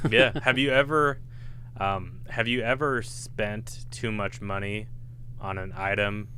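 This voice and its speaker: The speaker's voice carries vocal fry at a fairly slow pace. Room echo is audible. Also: man. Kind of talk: casual chat. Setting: podcast studio.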